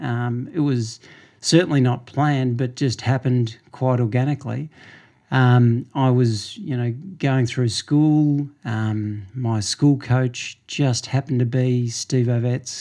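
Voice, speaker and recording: Speaking very slowly with an Australian accent, a man has a medium pitch and a dark, mellow tone. His intonation stays fairly even, and the recording is very clean with a silent background. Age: 50s. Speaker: running store owner. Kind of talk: interview. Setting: running store.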